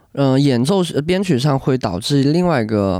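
This man's delivery is fairly quick and his intonation lively. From Guangdong, China (Hakka). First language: Hakka and Cantonese (speaking Chinese). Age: 20s. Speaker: band lead singer. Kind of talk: casual chat.

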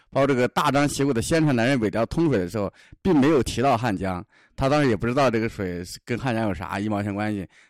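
Speech at a very fast pace with lively intonation comes through a dry, close sound with no echo and a very clean recording with a silent background. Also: man, medium pitch for a man. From southern Shaanxi, China. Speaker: travel companion, local guide. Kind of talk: casual travel-diary chat. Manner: halting, repetitive fillers.

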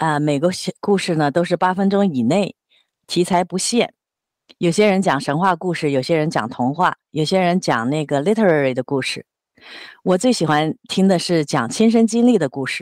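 Lively intonation marks a woman's fairly low voice, a normal speaking voice, at a moderate pace. The sound is dry and close with no echo, on a very clean recording with a silent background. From Jiangsu, China. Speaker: office worker nearing retirement, volunteer. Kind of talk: casual chat.

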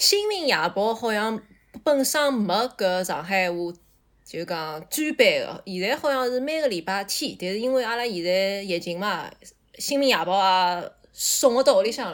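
A woman's normal speaking voice, fairly high in pitch, with lively intonation and a moderate pace, on a very clean recording with a silent background. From Shanghai, China. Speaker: podcast guest. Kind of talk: casual chat.

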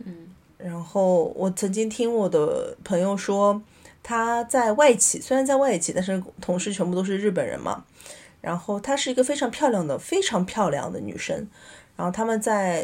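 The pace is moderate. Pitch variation is ordinary. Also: woman, medium pitch for a woman. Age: 30s. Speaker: podcast guest. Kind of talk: casual chat. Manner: hesitant, many fillers.

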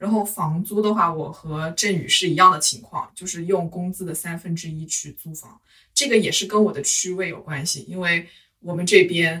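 In a normal speaking voice, a woman talks at a moderate pace with fairly low pitch, ordinary pitch variation and big swings in loudness. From Hunan, China. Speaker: office worker. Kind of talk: casual chat.

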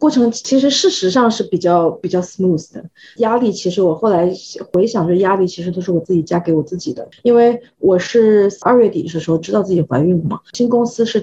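A woman with a dark, mellow tone speaks at a fairly quick pace, somewhat breathy, at a medium pitch with ordinary pitch variation. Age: 30s. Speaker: expectant mother, visual effects artist. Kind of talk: casual group chat. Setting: online group recording.

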